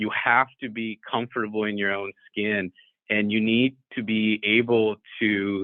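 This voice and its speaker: This man has a Sri Lankan American accent and a fairly low voice. His intonation is flat and monotone. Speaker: judge. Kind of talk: webinar talk and Q&A.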